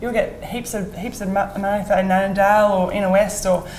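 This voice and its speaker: A woman at medium pitch talks at a fairly quick pace, with audible room echo and noticeable background noise. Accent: Australian. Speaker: real estate agent. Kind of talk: interview. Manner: halting, repeats words.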